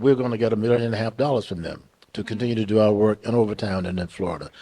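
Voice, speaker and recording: A man speaks at a very fast pace in a fairly low pitch. His tone is dark and mellow, with fairly even intonation. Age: 80s+. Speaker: historian and community activist. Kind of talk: talkback Q&A.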